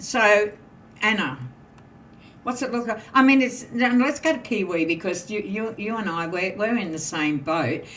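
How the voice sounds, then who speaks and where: With an Australian accent, a woman speaks at a moderate pace in a fairly high pitch with lively intonation, and audible room echo surrounds her. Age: 70s. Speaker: podcast panel host. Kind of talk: casual panel discussion.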